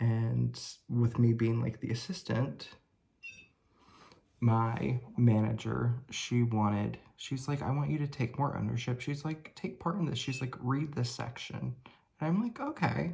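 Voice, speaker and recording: A man talks fairly slowly at a medium pitch, somewhat breathy, with a dark, mellow tone and lively intonation. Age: 30s. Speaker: beauty vlogger. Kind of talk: casual chat. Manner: hesitant, many fillers.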